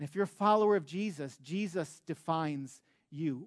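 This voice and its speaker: A man speaks in an animated tone with lively intonation. The background is quiet. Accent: American. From US Midwest, Metro Detroit, Michigan. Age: 40s. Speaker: pastor. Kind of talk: sermon. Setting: church.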